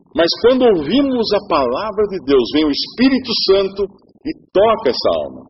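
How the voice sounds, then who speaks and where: Swinging his pitch very widely, a man with a high voice speaks at a moderate pace. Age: 50s. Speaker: preacher. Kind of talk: sermon. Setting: church.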